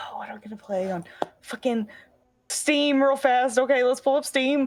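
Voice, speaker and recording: Her loudness swings widely as a woman with a high pitch speaks at a moderate pace with ordinary pitch variation. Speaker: streamer. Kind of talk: casual chat. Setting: live stream.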